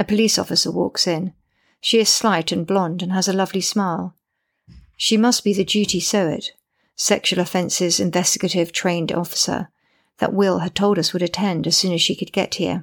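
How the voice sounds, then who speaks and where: With an English accent, a woman speaks at a moderate pace and medium pitch with fairly even intonation, in a very clean recording with a silent background. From Britain. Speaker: audiobook narrator and author. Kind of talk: scripted narration.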